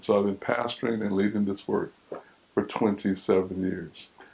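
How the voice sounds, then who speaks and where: Using a plain, everyday voice, a man talks at a fairly low pitch, his intonation fairly even. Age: 60s. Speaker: pastor. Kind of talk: sermon.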